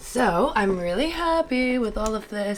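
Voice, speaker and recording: Noticeable background noise sits behind a woman's voice. She speaks at a fairly slow pace in a medium pitch. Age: 20s. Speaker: medical student and vlogger. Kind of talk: casual vlog talk to camera. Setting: filming alone at home at night. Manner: animated.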